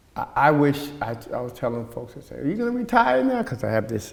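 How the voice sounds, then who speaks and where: Amid noticeable background noise, a man with an American accent talks fairly quickly in a fairly even tone. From US Northeast, Elizabeth, New Jersey. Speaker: youth social justice activist. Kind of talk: interview conversation.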